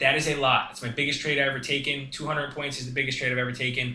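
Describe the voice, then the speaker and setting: The man's voice sits fairly high. He talks very fast. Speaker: day trader. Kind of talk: tutorial. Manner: casual.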